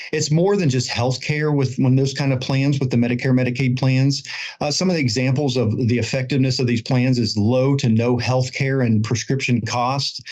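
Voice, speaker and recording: A man speaks in a plain, everyday voice at medium pitch and a moderate pace, with hardly any pauses. His intonation is fairly even and his loudness very even. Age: 40s. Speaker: insurance expert. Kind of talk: podcast interview.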